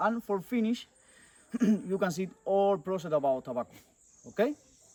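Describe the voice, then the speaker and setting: A man's dark, mellow tone at a moderate pace. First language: Spanish. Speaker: tobacco farmer. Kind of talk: guided demonstration. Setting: farm.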